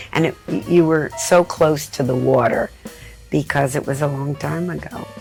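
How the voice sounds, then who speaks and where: Fairly even intonation at a moderate pace, with an American accent and music in the background. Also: woman, very deep, low pitch for a woman. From Miami, Florida. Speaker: art dealer. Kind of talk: interview answer. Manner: candid, conversational.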